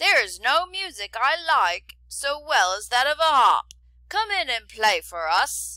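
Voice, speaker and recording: A woman uses a put-on character voice, high-pitched with very wide pitch swings, at a fairly slow pace. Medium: read story.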